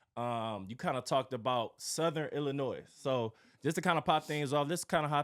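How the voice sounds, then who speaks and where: A man talks in a normal speaking voice, fairly high in pitch, with ordinary pitch variation. His moderate pace comes through on a very clean recording with a silent background. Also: hardly any pauses. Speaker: podcast host. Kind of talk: casual interview.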